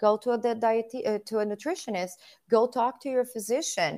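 Ordinary pitch variation with a Portuguese accent, in a very clean recording against a silent background. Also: woman. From southern Brazil. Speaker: physical therapist. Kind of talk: casual interview.

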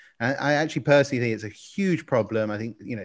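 A man at a medium pitch, an ordinary speaking voice, in a very clean recording with a silent background. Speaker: podcast co-host. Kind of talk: interview.

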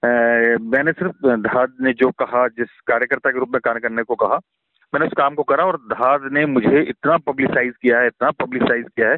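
A man with a normal speaking voice, medium pitch, fairly even intonation and very even loudness. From Faridabad, Haryana (Garhwali family). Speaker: theatre director and actor. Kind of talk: interview.

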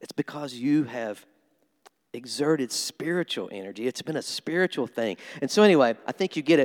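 A man with an American accent, fairly high pitch and lively intonation. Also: dry, close sound with no echo. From US Midwest (southeast Missouri). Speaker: pastor. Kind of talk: sermon. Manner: animated.

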